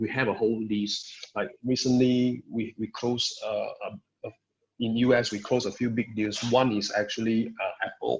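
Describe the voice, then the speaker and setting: Intonation stays fairly even as a man speaks at medium pitch. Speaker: network vendor systems engineer. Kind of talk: webinar presentation. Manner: fast; halting, many fillers.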